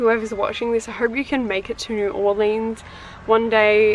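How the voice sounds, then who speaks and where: A woman talks at a moderate pace in a monotone, flat intonation. Noticeable background noise runs under her voice. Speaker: tarot reader and witchy content creator. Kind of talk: casual haul video talk. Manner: casual, many fillers like um and like.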